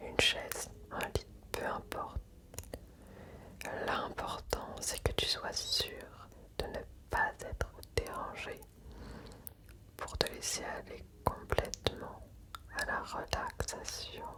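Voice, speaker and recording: A woman whispers in a soothing tone at a very slow pace, leaving long, frequent pauses. Noticeable background noise runs under her voice. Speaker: ASMR creator. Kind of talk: ASMR relaxation, personal attention. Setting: close to the microphone. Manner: whispered, soothing, slow.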